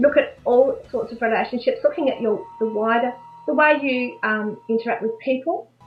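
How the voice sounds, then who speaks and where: A woman's fairly high voice with an Australian accent, music in the background. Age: 60s. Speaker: life coach. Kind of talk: interview answer.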